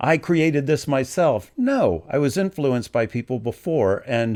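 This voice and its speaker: This man has an ordinary speaking voice. His delivery is moderately paced, with lively intonation. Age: 60s. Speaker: music video reactor. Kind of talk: casual commentary rant. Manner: conversational, with many fillers.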